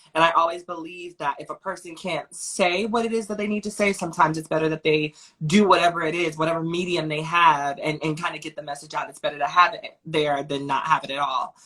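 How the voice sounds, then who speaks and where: A woman rushes along at a very fast pace with hardly any pauses, her fairly low voice showing ordinary pitch variation and big swings in loudness over noticeable background noise. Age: 20s. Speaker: activist and performance artist. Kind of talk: interview.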